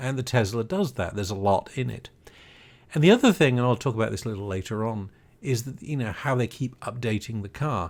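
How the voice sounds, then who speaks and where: On a very clean recording with a silent background, a man with a British accent talks at a fairly quick pace, medium in pitch with ordinary pitch variation. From Britain. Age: 60s. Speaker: podcast host, retired broadcast engineer. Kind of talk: casual podcast monologue.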